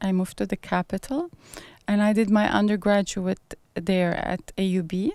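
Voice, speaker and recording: A woman's dark, mellow voice at a moderate pace, fairly even in intonation, on a very clean recording with a silent background. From Lebanon. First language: French and Arabic. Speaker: professor and former politician. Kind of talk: interview.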